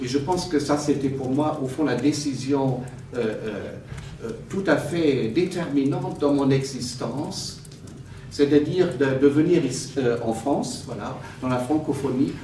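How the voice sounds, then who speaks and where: A man with a fairly high pitch talks at a fairly slow pace with ordinary pitch variation. Noticeable background noise and audible room echo fill the recording. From Germany, Cologne. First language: German (speaking French). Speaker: theologian, honorary doctorate recipient. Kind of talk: academic lecture. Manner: hesitant, many fillers.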